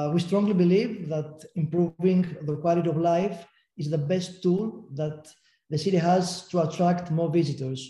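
With a Greek accent, a man speaks in a high pitch with a dark, mellow tone and fairly even intonation. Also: moderate pace. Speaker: city tourism agency official. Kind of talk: panel discussion. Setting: video call.

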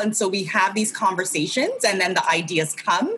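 A woman with an American accent has a normal speaking voice. She keeps a moderate pace. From California, US. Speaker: interior designer. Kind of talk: casual chat.

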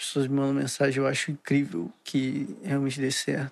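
The man's pitch is fairly high, with ordinary variation. He speaks at a moderate pace. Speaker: podcaster. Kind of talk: casual rambling monologue. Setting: home, recording at computer.

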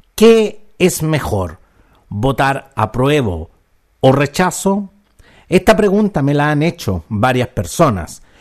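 A man speaks at a very slow pace in a fairly high pitch. His pitch swings very widely. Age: 50s. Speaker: podcast host and commentator. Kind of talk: opinion monologue.

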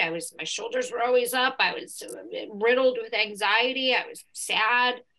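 A woman with a high pitch keeps to a moderate pace. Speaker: comedian and author. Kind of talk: casual chat.

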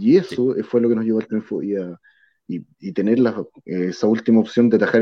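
In a Chilean accent, a man speaks at a medium pitch. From southern Chile (Río Bueno). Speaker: football fan. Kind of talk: casual chat.

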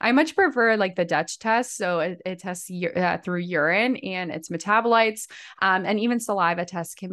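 At a moderate pace, a woman with an unremarkable speaking voice talks at medium pitch with ordinary pitch variation against a quiet background. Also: hardly any pauses. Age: 30s. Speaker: personal trainer and nutrition practitioner. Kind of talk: casual interview chat.

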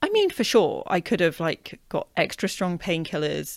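A woman speaks with a British accent at a fairly slow pace. The recording is very clean, with a silent background. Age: 40s. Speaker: author and menstrual health coach. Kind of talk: casual interview.

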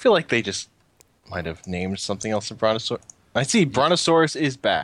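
Speaking fairly quickly with an American accent, a man lets his pitch swing very widely. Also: medium pitch for a man. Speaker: gaming podcast co-host. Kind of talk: casual chat.

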